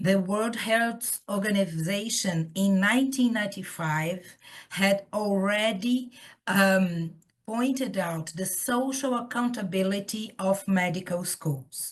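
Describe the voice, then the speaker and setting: Somewhat breathy, a woman with a Portuguese accent speaks very slowly at a medium pitch with ordinary pitch variation. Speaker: professor. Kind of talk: lecture. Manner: hesitant, with fillers.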